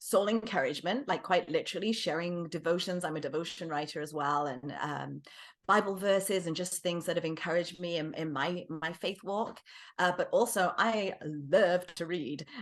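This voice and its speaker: A woman speaks with an English accent. Her pitch sits fairly low. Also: ordinary pitch variation, moderate pace, quiet background. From England. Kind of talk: interview.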